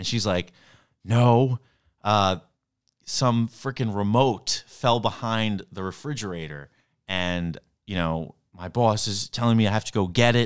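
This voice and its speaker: Speaking with a New York accent, a man talks in a fairly low pitch at a fairly slow pace, with ordinary pitch variation and long, frequent pauses. The recording is very clean, with a silent background. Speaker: comedian. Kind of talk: casual chat.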